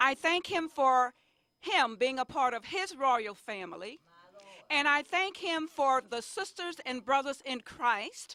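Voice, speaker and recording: A woman's raised, projected voice, high in pitch and bright and sharp in tone, with very wide pitch swings at a fairly slow pace. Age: 60s. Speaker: senior center member. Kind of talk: birthday greeting.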